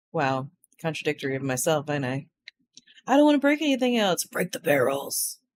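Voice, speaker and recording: This woman has a very deep, low pitch with very wide swings. She talks at a fairly quick pace. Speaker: video game streamer. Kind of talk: casual chat. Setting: live stream. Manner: casual, rambling with fillers.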